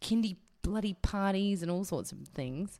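A woman speaks with an Australian accent at a moderate pace, with ordinary pitch variation. The recording is very clean and the background silent. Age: 30s. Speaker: podcast co-host. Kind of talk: casual chat.

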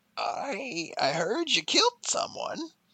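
Someone performs a gravelly, put-on character voice. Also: high pitch.

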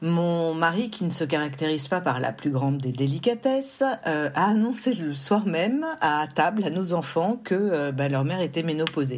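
A woman with a normal speaking voice, a fairly low pitch and lively intonation, at a fairly slow pace. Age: 50s. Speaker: woman giving a menopause testimony. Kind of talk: testimony.

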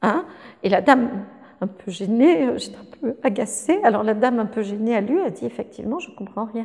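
A woman with a plain, everyday voice talks at a moderate pace and fairly high pitch, her intonation lively and her loudness swinging widely. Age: 60s. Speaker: linguistics professor. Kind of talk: interview.

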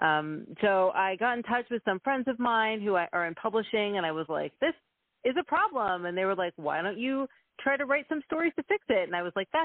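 A woman speaks at a fairly quick pace with very wide pitch swings. She has an American accent. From Texas. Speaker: research psychologist and children's author. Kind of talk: interview.

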